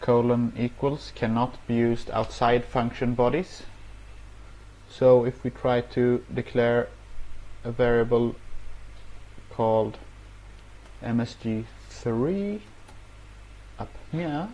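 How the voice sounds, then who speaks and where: A man speaking at a very slow pace, with long, frequent pauses. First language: not English. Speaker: programming tutorial youtuber; programming instructor. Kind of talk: tutorial. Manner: hesitant, many filler words. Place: home room. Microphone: earbuds.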